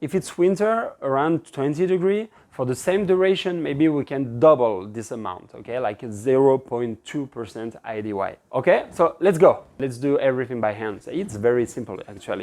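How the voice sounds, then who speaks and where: Speaking at a moderate pace, a man with a French accent has a medium pitch. His pitch swings very widely. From France. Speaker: pizza instructor. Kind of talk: cooking tutorial. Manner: casual and relaxed.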